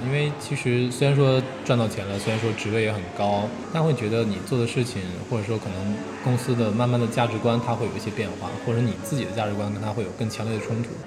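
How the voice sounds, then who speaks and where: Amid noticeable background noise and audible room echo, a man of medium pitch talks at a very fast pace with fairly even intonation. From China, Jiangsu. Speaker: independent bookshop owner. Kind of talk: interview conversation. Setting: café in Beijing.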